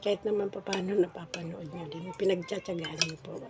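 A woman speaks at a moderate pace. Noticeable background noise can be heard behind her. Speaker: vlogger. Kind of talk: casual vlog talk. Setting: at home eating breakfast.

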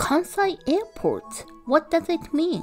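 A woman speaking at a very slow pace with music in the background. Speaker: travel channel narrator. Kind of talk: travel voice-over narration.

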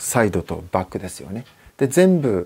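A relaxed man with a dark, mellow tone and very wide pitch swings. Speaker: guitar maker. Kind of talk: interview. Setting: workshop. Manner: relaxed, with many fillers.

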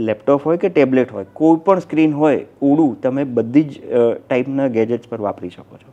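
A dark, mellow tone with big swings in loudness and ordinary pitch variation. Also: man. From Gujarat, Gandhinagar. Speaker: software company director. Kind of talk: interview. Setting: studio.

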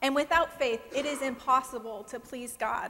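At a moderate pace, a woman speaks at a high pitch with ordinary pitch variation. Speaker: guest preacher. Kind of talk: sermon. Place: church. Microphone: lapel.

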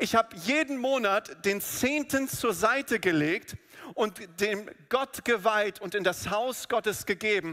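Against a quiet background, a man uses a raised, projected voice with a bright, sharp tone at a fairly slow pace. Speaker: preacher. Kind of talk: sermon. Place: church. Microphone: headset.

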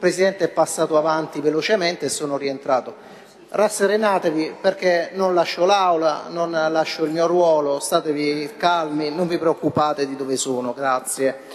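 A man's unremarkable speaking voice, fairly high-pitched, at a moderate pace with ordinary pitch variation over light background noise. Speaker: city councillor. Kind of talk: council debate speech. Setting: council chamber. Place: hall. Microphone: podium.

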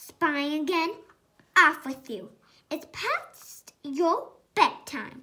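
A woman uses a put-on character voice at a high pitch. She goes at a very slow pace with long, frequent pauses. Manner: mean, scolding.

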